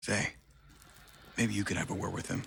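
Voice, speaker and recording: A man puts on a raspy character voice with fairly low pitch. He moves at a fairly quick pace. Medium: video game. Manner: profane, anxious.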